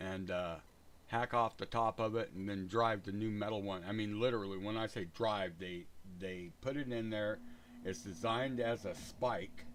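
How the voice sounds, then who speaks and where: Here a man talks in an unremarkable speaking voice, fairly low in pitch, at a moderate pace with ordinary pitch variation. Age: 60s. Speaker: gaming livestreamer. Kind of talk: casual chat. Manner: rambling, relaxed.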